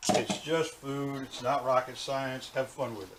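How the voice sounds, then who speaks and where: A man's fairly high-pitched, ordinary speaking voice at a moderate pace. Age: 60s. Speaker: cooking show host. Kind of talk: tutorial. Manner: casual, relaxed.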